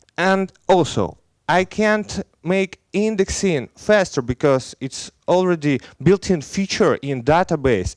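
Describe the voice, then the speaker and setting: A man with a slight Belarusian accent speaks at a very slow pace. The very clean recording has a silent background and a dry, close sound with no echo. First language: Russian. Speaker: software engineer. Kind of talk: conference talk. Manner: halting.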